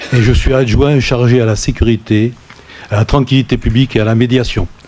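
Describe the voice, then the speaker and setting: A man's medium-pitched voice with fairly even intonation and very even loudness, long, frequent pauses, and noticeable background noise. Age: 60s. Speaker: deputy mayor, retired gendarme. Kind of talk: council meeting self-introduction.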